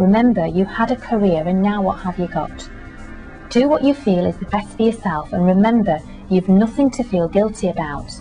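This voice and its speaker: A woman's medium-pitched voice, with ordinary pitch variation, carries over background music. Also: moderate pace. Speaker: voice-over artist and agony aunt / life coach. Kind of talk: agony aunt advice reading.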